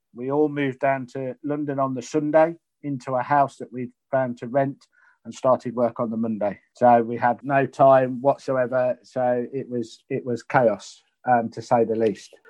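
With an East Midlands accent, a man talks at a moderate pace, his intonation fairly even and his loudness swinging widely. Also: medium pitch for a man. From Leicester, England. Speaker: retired prison officer. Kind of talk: interview.

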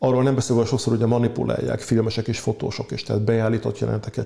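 A man talks at a very fast pace. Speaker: biologist and author. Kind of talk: interview. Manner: passionate.

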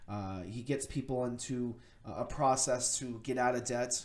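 A man with an unremarkable speaking voice, medium pitch, fairly even intonation and a fairly slow pace. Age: 30s. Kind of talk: casual monologue. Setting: at a computer on camera. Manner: many filler words.

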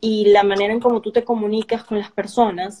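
A woman speaks in a dark, mellow tone. Her pace is moderate. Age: young. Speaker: executive producer. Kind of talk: casual interview. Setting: live stream.

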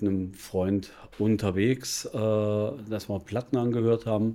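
Fairly low in pitch, a man delivers his words at a fairly slow pace in a dark, mellow tone with monotone, flat intonation. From Bavaria (Regensburg). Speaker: financial advisor. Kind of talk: casual interview. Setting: café.

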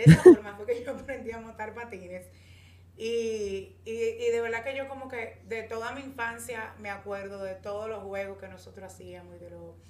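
A woman talks at a moderate pace with fairly even intonation. Noticeable background noise is present. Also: fairly high pitch for a woman. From Dominican Republic, Santo Domingo. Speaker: podcast co-host, communicator. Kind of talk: casual chat.

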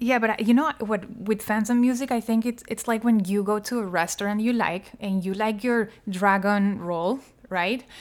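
With a Spanish accent, a woman speaks at a moderate pace and a fairly high pitch, keeping her intonation fairly even. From Colombia. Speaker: pop singer. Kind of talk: casual chat.

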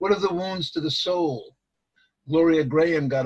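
This man talks at a moderate pace. His voice is somewhat breathy, with ordinary pitch variation. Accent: American. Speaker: poet. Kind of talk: poetry reading. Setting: video call.

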